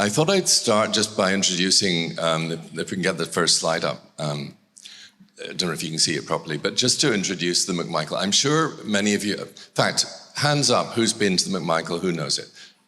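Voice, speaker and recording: With a Scottish accent, a man speaks fairly quickly in a bright, sharp tone. His very deep, low pitch moves with lively intonation. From Scotland. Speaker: art gallery director. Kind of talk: public talk.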